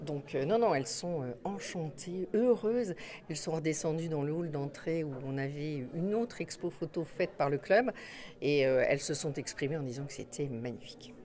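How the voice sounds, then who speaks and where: At a moderate pace, a woman speaks with a very deep, low pitch and lively intonation. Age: 60s. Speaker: hospital nurse manager. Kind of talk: interview. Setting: photo exhibition opening.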